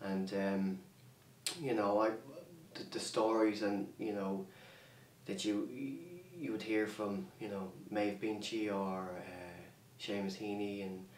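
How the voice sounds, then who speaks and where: A man at a very slow pace with long, frequent pauses, a fairly low pitch, fairly even intonation and an Irish accent, with noticeable background noise and audible room echo. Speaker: artist. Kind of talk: interview. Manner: halting.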